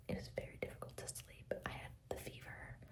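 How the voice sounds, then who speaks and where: Background noise is clearly audible. Under it, a woman whispers at a middling speed. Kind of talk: ASMR whisper ramble to camera. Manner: whispered; casual, chatty.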